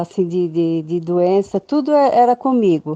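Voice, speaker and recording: A woman's dark, mellow tone comes through dry and close, with no echo. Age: 60s. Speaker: testimonial giver. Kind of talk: testimony. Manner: halting.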